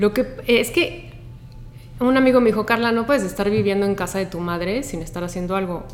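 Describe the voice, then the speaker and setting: Lively intonation from a woman at medium pitch, moving at a fairly quick pace. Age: 40s. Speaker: environmental activist and beach cleanup coordinator. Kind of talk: casual chat. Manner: animated.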